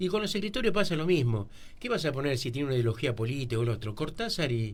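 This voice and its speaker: Speaking very fast, a man uses a fairly high, somewhat breathy voice with very wide pitch swings. Room echo is audible. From Argentina, Buenos Aires area. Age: 60s. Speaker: local writer. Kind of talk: radio interview.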